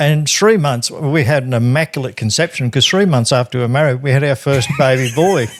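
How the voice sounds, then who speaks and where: Fairly quick talk from a man at a fairly high pitch with an Australian accent, ordinary pitch variation, and noticeable background noise. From Australia, rural New South Wales. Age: 60s. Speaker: funeral industry worker. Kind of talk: interview, life story.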